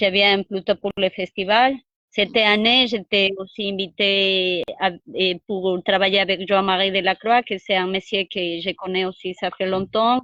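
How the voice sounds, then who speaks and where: At a fairly slow pace, a woman talks at a medium pitch with fairly even intonation. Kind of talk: interview. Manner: halting.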